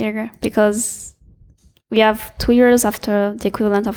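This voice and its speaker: A woman with a French accent at a moderate pace, monotone and flat, in a very clean recording with a silent background. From France. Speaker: student network volunteer. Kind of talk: interview. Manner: halting.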